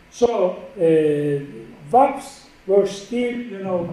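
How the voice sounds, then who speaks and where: A man with a Turkish accent and lively intonation, heard with audible room echo and noticeable background noise. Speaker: professor. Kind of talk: lecture.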